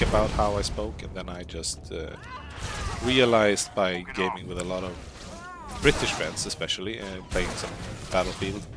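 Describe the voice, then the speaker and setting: A man with a Swedish accent and a very deep, low pitch speaks at a moderate pace with ordinary pitch variation, amid noticeable background noise. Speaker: gaming streamer. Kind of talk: live gameplay stream chat.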